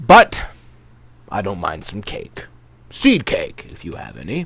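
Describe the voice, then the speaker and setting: The pace is fairly slow. A man performs in a put-on character voice. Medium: read story. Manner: courteous.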